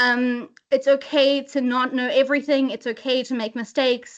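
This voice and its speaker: A woman with a high pitch speaks in a South African accent against a quiet background. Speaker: webinar presenter, inclusion lead. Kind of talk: webinar presentation. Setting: video call. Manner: hesitant fillers.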